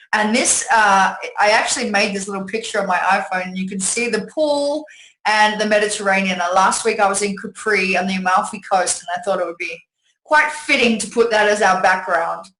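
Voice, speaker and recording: With an Australian accent, a woman talks at a fairly quick pace and medium pitch, her tone bright and sharp. Her pitch varies in an ordinary way, and the room echo is audible. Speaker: network marketing presenter. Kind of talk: sales pitch webinar. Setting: webinar from home. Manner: animated.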